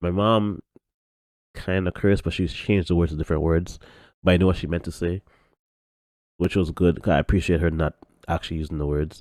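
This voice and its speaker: In a very clean, dry and close recording with a silent background and no echo, a man speaks in a very deep, low voice with fairly even intonation. His pace is fairly quick, though he leaves long, frequent pauses. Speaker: podcast host. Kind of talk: casual chat. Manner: monotone.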